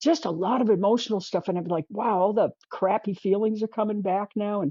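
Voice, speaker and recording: At a moderate pace, the speaker uses an ordinary speaking voice. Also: woman. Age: 60s. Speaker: artist. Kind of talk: interview.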